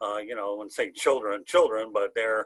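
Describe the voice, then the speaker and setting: A man with an American accent at a fairly quick pace, dry and close with no echo, over a quiet background. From Michigan, Oakland County. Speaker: sports talk show host. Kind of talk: casual sports talk. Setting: video show. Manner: loud, animated.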